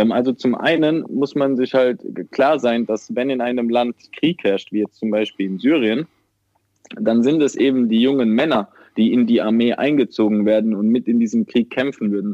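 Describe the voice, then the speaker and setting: At a moderate pace, a man talks in an ordinary speaking voice of medium pitch with ordinary pitch variation. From Germany, Mannheim/Ludwigshafen area. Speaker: aid worker. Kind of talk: interview.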